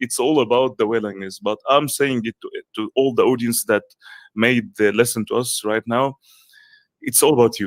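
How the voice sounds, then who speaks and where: A man's medium-pitched voice with an Arabic accent at a moderate pace, in a dry, close sound with no echo and a very clean recording with a silent background. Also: fairly even intonation. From Egypt. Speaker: coach and content creator. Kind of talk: interview.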